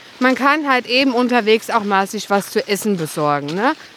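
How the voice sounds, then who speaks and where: Her pitch swinging very widely, a woman speaks at a moderate pace against noticeable background noise. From Germany, Westerwald. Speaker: hiking podcast co-host. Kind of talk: casual chat while hiking. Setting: outdoors on a snowy hike.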